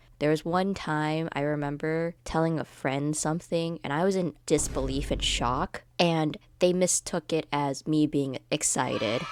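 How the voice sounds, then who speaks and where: A woman talks at a fairly slow pace in a very deep, low pitch with fairly even intonation. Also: hardly any pauses, very clean recording, silent background. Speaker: animation storytime youtuber. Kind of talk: casual vlog monologue. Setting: recording alone at home.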